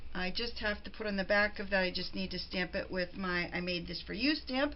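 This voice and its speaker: Ordinary pitch variation from a woman, with noticeable background noise and audible room echo. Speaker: crafting video host. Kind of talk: tutorial. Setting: at home.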